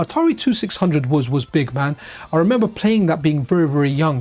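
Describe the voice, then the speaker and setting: With an English accent, a man talks at a fairly quick pace, his pitch swinging very widely. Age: 40s. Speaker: retro gaming streamer. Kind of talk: casual live stream chat. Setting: live stream. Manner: rambling, self-correcting.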